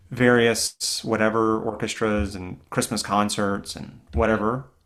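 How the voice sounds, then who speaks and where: Using a normal speaking voice, a man with an American accent and a fairly low pitch speaks at a fairly slow pace with fairly even intonation, on a very clean recording with a silent background. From US South, Greenville, South Carolina. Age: 30s. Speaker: orchestral clarinetist and teacher. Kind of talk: casual interview conversation.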